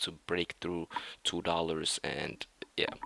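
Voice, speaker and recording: A man with a non-native accent speaks at a moderate pace in a very deep, low voice. The recording is very clean, silent in the background, and dry and close with no echo. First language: not English. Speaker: day trader, video creator. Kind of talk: trading review. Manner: halting.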